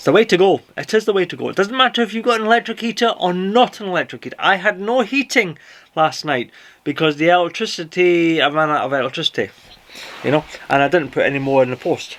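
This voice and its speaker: A man with a Scottish accent speaks in a high pitch at a very fast pace. His intonation is lively. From Scotland. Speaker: boating vlogger. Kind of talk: casual vlog talk to camera. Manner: casual, chatty with fillers.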